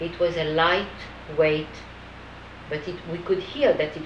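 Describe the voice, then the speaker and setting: A woman with a French accent and a fairly low pitch speaks at a fairly slow pace amid noticeable background noise. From France. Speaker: Holocaust survivor. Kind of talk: testimony interview.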